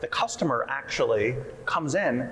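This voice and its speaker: In a room with audible echo, a man talks with an American accent. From US Northeast, New Jersey. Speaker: PR agency founder and CEO. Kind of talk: panel discussion. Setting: conference stage with audience.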